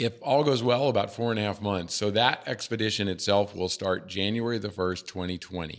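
Hardly pausing, a man talks at a fairly quick pace. His voice sits fairly low, with ordinary pitch variation. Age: 50s. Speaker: ultrarunner and writer. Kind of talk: interview. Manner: halting.

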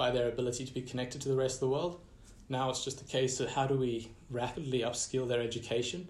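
A man at medium pitch, somewhat breathy, at a fairly quick pace. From Southern and Central Africa (Malawi, Zimbabwe). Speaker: designer and startup founder. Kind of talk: casual interview.

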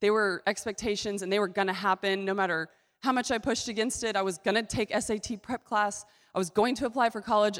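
A woman has an unremarkable speaking voice with medium pitch and fairly even intonation, at a fairly quick pace. The recording is very clean with a silent background. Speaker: ministry representative. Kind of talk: presentation to a church congregation. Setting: church stage with audience.

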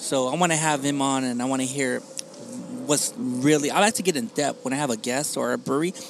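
Noticeable background noise sits behind a man talking at a fairly quick pace. His fairly high voice shows ordinary pitch variation. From Long Beach and Wilmington, California; Mexican-American. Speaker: podcaster. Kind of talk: casual chat. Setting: outdoor patio of a coffee shop.

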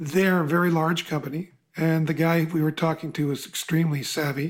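A man talks at a fairly quick pace with fairly high pitch and fairly even intonation. It is an ordinary speaking voice. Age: 60s. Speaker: podcast host and coach. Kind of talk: interview.

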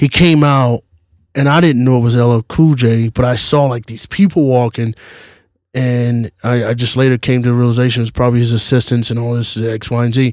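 A man of medium pitch with an American accent and an unremarkable speaking voice, fairly quick in pace, fairly even in intonation, the sound dry and close with no echo. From US South. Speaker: regular podcast guest. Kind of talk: casual chat.

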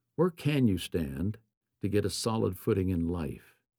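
Speaking at a fairly slow pace, a man has a fairly low, dark, mellow voice with vocal fry. His intonation is lively, and the recording is very clean with a silent background. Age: 70s. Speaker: podcast host and author. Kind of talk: reading aloud from his book.

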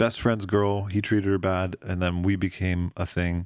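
With an American accent, a normal speaking voice goes at a fairly quick pace on a very clean recording with a silent background. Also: man. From rural Pennsylvania. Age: 20s. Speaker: stand-up comedian. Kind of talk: casual chat.

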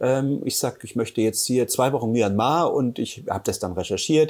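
This man has an ordinary speaking voice at medium pitch. He moves at a fairly quick pace with lively intonation. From eastern Germany, Halle an der Saale. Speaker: photographer and blogger. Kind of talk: casual interview chat.

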